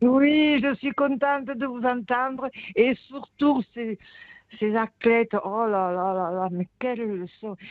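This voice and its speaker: A woman talks very slowly in a fairly high pitch with ordinary pitch variation. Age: 80s+. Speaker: caller. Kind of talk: testimony. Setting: phone call. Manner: animated.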